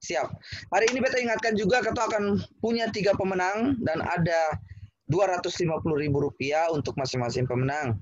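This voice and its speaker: Somewhat breathy and fairly quick, a man's voice moves through very wide pitch swings. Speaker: poet and event host. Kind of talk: hosting an online poetry competition. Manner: animated.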